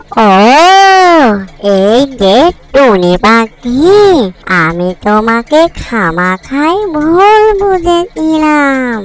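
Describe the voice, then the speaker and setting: A female-sounding, cartoonish character voice is high-pitched and very slow. Its pitch swings very widely. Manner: lively, chatty.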